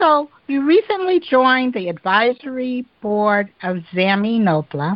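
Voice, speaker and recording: Speaking with an American accent, a woman moves at a fairly slow pace with hardly any pauses. Her pitch swings very widely. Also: fairly high pitch for a woman. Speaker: podcast host. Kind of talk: interview.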